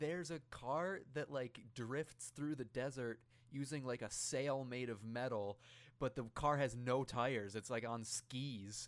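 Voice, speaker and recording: A man talks in an unremarkable speaking voice at a medium pitch. His pace is fairly slow, and his pitch varies in an ordinary way. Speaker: podcast host. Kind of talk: casual comedic chat, review podcast. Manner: joking, laughing often.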